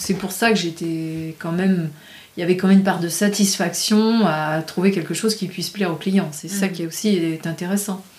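A woman speaks with fairly even intonation. Noticeable background noise runs under her voice. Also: medium pitch for a woman, moderate pace. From rural France. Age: 50s. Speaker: painter and graphic designer. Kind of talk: casual interview.

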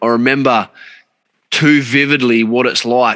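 A man's bright, sharp tone with an Australian accent and fairly even intonation. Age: 30s. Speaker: podcast host. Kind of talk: casual chat. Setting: video call.

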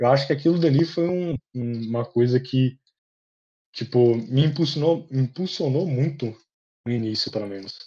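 Over a quiet background, a man of medium pitch talks at a moderate pace in a somewhat breathy voice with a dark, mellow tone and ordinary pitch variation. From small town in Minas Gerais, Brazil. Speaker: podcast co-host, physics student. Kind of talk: casual chat.

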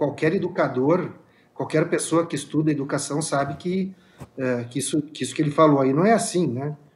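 A man's somewhat breathy voice sits at a fairly high pitch, with ordinary pitch variation and a moderate pace. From Caxias do Sul, Rio Grande do Sul. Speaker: state legislator. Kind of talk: political debate. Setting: remote video link.

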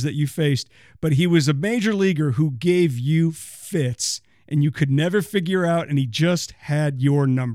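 With an ordinary speaking voice, a man talks at a fairly high pitch and fairly slow pace with ordinary pitch variation, on a very clean recording with a silent background. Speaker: newspaper columnist and podcast host. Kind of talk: interview; podcast monologue.

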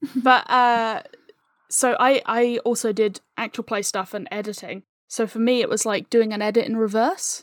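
An unremarkable speaking voice from a woman, fairly high in pitch, with ordinary pitch variation and a moderate pace, recorded dry and close with no echo, very clean with a silent background. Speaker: audio drama writer and co-creator. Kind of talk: casual interview chat.

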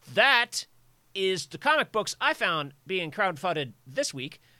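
A man with an American accent speaks in a raised, projected voice that sits high for a man, bright and sharp in tone, his pitch swinging very widely, recorded dry and close with no echo. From US South, rural suburbs of Virginia. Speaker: comic artist and software engineer. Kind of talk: casual chat. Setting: live stream.

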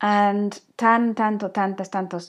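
A woman at medium pitch and a fairly slow pace, on a very clean recording with a silent background. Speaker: language learning podcaster. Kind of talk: tutorial. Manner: casual, hesitant with fillers.

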